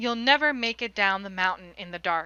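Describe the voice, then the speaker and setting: A put-on character voice that sounds female, medium-pitched, delivers its lines at a moderate pace. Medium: read story. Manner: precise, deadpan.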